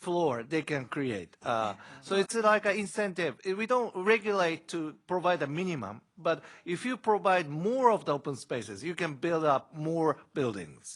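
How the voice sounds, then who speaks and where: A man speaks at a high pitch with very wide pitch swings and a Japanese accent. His pace is moderate, and the recording is very clean with a silent background. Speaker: city official, panelist. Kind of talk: panel Q&A answer. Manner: halting.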